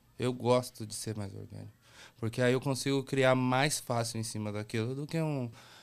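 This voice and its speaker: A man speaks at a medium pitch and moderate pace, with fairly even intonation and big swings in loudness. The recording is very clean, with a silent background. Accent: São Paulo. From São Paulo, Brazil (Brasilândia). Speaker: graffiti artist. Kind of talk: casual chat.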